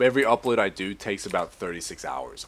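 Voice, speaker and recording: In a very clean recording with a silent background, a man with an American accent talks at a very fast pace with lively intonation. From Australia. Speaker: gamer. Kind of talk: casual gameplay commentary.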